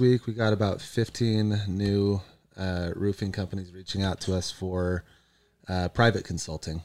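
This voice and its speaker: A man with an unremarkable speaking voice and fairly low pitch speaks at a moderate pace on a very clean recording with a silent background. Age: 30s. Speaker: solar business consultant and event organizer. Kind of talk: casual chat.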